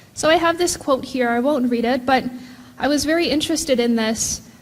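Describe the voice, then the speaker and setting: Audible room echo surrounds the recording. A woman speaks with ordinary pitch variation. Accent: Hawaiian. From Hawaii, island of Hawaii. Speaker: professor. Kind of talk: conference keynote.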